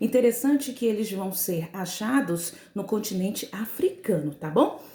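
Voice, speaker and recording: This speaker has an unremarkable speaking voice and lively intonation. The pace is fairly slow. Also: woman. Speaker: school teacher. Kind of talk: recorded lesson.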